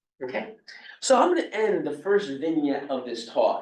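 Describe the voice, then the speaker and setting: With a New York accent, a man speaks at a moderate pace. His intonation is lively. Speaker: robotics professor. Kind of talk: lecture.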